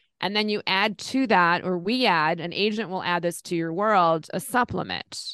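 Recorded with a dry, close sound, no echo, and a quiet background, a woman uses a normal speaking voice at a moderate pace with ordinary pitch variation. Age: 50s. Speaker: Medicare insurance agent. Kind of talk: interview.

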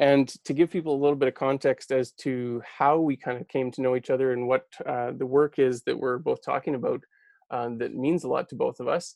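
A man speaks fairly quickly at a medium pitch in a Canadian accent. His intonation is monotone and flat. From Alberta, Canada. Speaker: podcast host. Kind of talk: casual conversation. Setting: video call.

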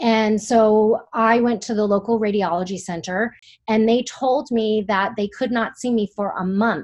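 Against a quiet background, a woman with an ordinary speaking voice and a fairly high pitch speaks at a fairly slow pace with fairly even intonation. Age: 40s. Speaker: breast cancer survivor and author. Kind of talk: interview testimony.

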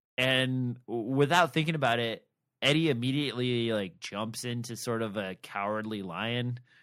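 In a very clean recording with a silent background, a man with a plain, everyday voice speaks at a medium pitch with ordinary pitch variation. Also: moderate pace. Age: 40s. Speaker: podcast co-host. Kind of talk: casual chat about books.

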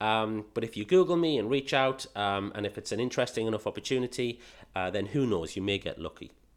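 With a British accent, a man talks very fast at a medium pitch with lively intonation. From England. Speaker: podcast host, pet business marketing consultant. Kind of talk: casual monologue. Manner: animated.

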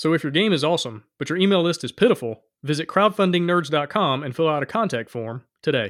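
A very fast, lively Southern US accent from a man with a fairly high voice and hardly any pauses. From Alabama, US South. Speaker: podcast host, game designer. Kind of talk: casual interview chat.

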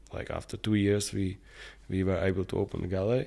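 A man with a Czech accent at a fairly quick pace. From Czech Republic, Prague. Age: 40s. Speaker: painter and sculptor. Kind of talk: interview. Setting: artist's studio. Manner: halting.

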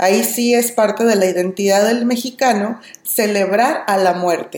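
Fairly high in pitch with ordinary variation, a woman talks at a fairly slow pace in a normal speaking voice. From Mexico. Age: 30s. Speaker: language teacher. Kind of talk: casual chat.

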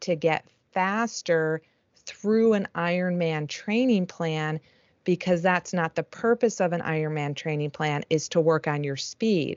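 An ordinary speaking voice is heard here. The pace is fairly slow. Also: woman. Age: 50s. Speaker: triathlon coach. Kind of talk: casual chat.

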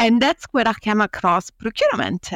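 A woman speaks with an Italian accent in a very clean recording with a silent background, the sound dry and close with no echo. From Italy. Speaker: law professor. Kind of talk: interview.

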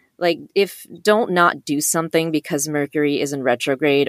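The sound is dry and close with no echo as a woman with a fairly low voice speaks at a moderate pace. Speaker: writer and voice actor. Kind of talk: casual chat.

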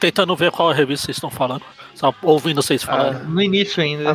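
A hoarse, put-on character voice at a very fast pace over music in the background. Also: man, fairly high pitch for a man.

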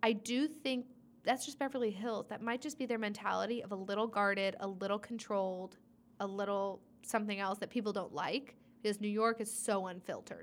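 At a fairly quick pace, a woman with an unremarkable speaking voice talks fairly high in pitch with ordinary pitch variation. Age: 20s. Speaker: trivia night host. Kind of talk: casual chat.

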